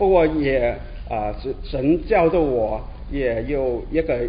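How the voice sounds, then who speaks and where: A man with a Cantonese accent speaks at a fairly slow pace against noticeable background noise. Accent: Cantonese-accented Mandarin. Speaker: conference attendee giving testimony. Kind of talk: testimony. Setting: conference hall without microphone.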